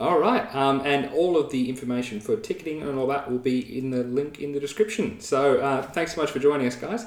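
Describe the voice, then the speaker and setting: Moderate pace from a fairly high-voiced man, noticeable background noise behind him. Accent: Australian. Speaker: interview podcast host. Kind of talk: casual interview. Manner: mumbling at times.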